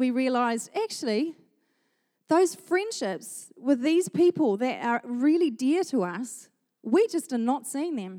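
With a New Zealand accent, a woman speaks at a high pitch that makes very wide pitch swings. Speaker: pastor. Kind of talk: sermon. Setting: church.

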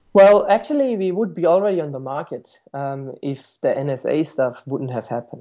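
In a German accent, a man speaks at a moderate pace. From Germany, Stuttgart. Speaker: tech startup founder and CEO. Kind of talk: interview.

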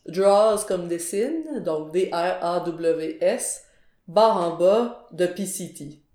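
A woman's dark, mellow tone at a very slow pace, with ordinary pitch variation. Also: fairly low pitch for a woman. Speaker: graphic designer and illustrator. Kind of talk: podcast interview.

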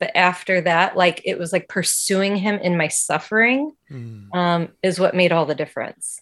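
In a normal speaking voice of medium pitch, a woman with an American accent talks at a moderate pace, with lively intonation and hardly any pauses. The recording is very clean, with a silent background. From Indiana, US Midwest. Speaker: faith testimony guest. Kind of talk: testimony.

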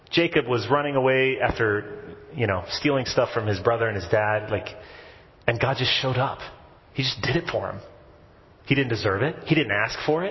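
Over noticeable background noise, a man with an American accent talks at a moderate pace with lively intonation and long, frequent pauses. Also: medium pitch for a man. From US South (Texas and Tennessee). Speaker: priest. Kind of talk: sermon. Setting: church.

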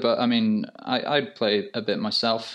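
Over a quiet background, a man with a British accent talks at a fairly slow pace with very wide pitch swings. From UK. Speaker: graphic designer. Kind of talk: casual chat. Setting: remote call from France.

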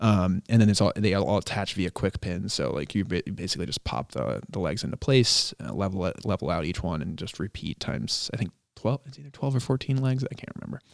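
Speaking with an American accent and vocal fry, a man with a fairly low pitch swings very widely in pitch and leaves hardly any pauses, captured in a dry, close recording with no echo. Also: fairly quick pace, big swings in loudness. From Rhode Island, US (Cumberland). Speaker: mechanical designer and project manager. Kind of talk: casual interview.

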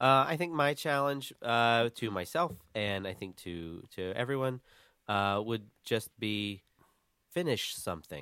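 An unremarkable speaking voice from a man, medium in pitch, fairly slow, with lively intonation. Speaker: podcast host. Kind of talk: casual chat.

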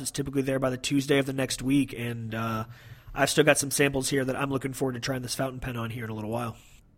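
Very fast and monotone, with flat intonation, a man talks at a medium pitch in an American accent. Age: 30s. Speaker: podcast host. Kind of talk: casual chat. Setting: remote call.

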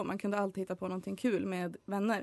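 Speaking very fast at a medium pitch, a woman comes through dry and close with no echo against a quiet background. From Sweden, Hälsingland. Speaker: student, student nation volunteer. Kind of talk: casual interview.

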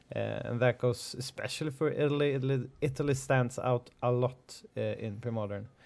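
A man talks at a moderate pace and medium pitch with fairly even intonation. It is an ordinary speaking voice. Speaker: podcast host. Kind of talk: casual chat. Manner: laughs often.

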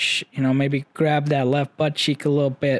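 Fairly slow delivery in a dry, close sound with no echo. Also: man. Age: 20s. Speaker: podcast host recovering from eye surgery. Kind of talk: casual solo update, rambling personal story. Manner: casual, rambling, candid.

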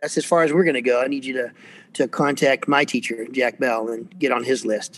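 A man with an American accent talks at a fairly quick pace. His medium-pitched, plain, everyday voice shows ordinary pitch variation. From US South, Atlanta area, Georgia. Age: 60s. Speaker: percussion professor and percussionist. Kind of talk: casual interview. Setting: video call.

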